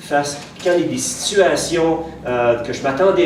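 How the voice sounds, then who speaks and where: A man speaks at a very slow pace in a Quebec accent. Audible room echo and noticeable background noise surround him. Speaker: pastor. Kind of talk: sermon. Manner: hesitant, many fillers and repetitions.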